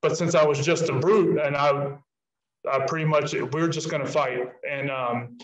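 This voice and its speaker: A man speaks fairly slowly and somewhat breathily with fairly even intonation, his voice carrying audible room echo over a quiet background. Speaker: guest. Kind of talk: interview answer. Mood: reflective, calm. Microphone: video call.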